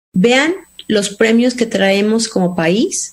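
A somewhat breathy woman's voice, fairly high in pitch, with ordinary pitch variation. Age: 50s. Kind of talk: interview.

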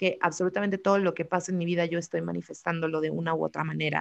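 A woman talks at a fairly low pitch against a quiet background. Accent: Mexican. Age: 30s. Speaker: podcast host. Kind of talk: casual chat. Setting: live stream.

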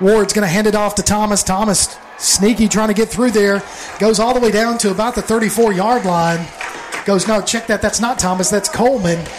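Amid noticeable background noise, a man with an energetic tone and high pitch speaks at a moderate pace with very even loudness. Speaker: play-by-play announcer. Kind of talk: live sports commentary. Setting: stadium broadcast booth. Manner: brisk, energetic play-by-play calling.

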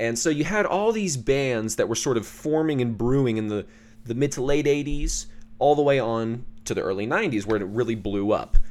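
A man with an ordinary speaking voice at medium pitch, fairly quick and lively in intonation, on a very clean recording with a silent background. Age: 20s. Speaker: podcast host and musician. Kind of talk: solo monologue, casual commentary.

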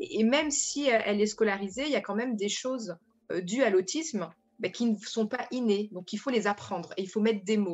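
A somewhat breathy woman's voice, fairly high, with ordinary pitch variation, at a moderate pace. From France. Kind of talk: radio panel discussion.

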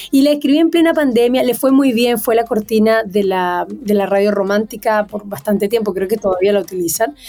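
A woman talks at a moderate pace in an ordinary speaking voice. Her intonation is lively. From Venezuela. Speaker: singer-songwriter. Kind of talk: interview.

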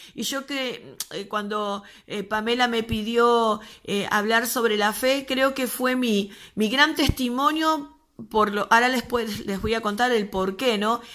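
A woman with a fairly high pitch and a bright, sharp tone, speaking very slowly with ordinary pitch variation. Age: 40s. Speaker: pastor. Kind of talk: testimony.

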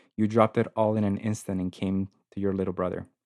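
A man with a Spanish accent speaks at a very fast pace in a fairly low pitch against a quiet background. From South Korea and Guatemala. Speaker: university accessibility advisor. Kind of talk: casual interview chat. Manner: friendly, enthusiastic.

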